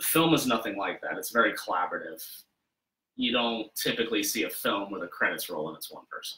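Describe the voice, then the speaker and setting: A man with an American accent at a very fast pace, with big swings in loudness. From Wyoming, US. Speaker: makeup effects artist; guest. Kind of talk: casual interview. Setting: his studio, live. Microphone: webcam.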